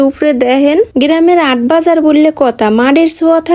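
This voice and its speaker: A woman talks in a high voice with a Barishal accent and ordinary pitch variation. Noticeable background noise sits behind her. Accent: Barishal Bengali dialect. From Barishal, Bangladesh. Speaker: vlogger. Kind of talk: vlog narration.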